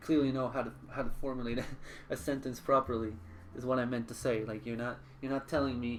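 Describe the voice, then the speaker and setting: With a slight French accent, this speaker goes at a very fast pace, using fairly even intonation and long, frequent pauses. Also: man, medium pitch for a man. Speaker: streamer. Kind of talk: live gaming stream chat. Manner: halting, frequent repetitions.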